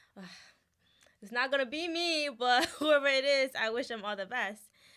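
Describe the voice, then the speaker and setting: Over a silent background in a very clean recording, a woman with a Ghanaian accent speaks in a bright, sharp tone with lively intonation. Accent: Ghanaian, noticeable. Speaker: student body president. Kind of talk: interview. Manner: casual, hesitant with fillers.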